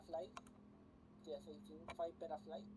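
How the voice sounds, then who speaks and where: A woman with a Spanish accent, a dark, mellow tone and vocal fry. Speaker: flight sim streamer. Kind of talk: casual live stream commentary. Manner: halting.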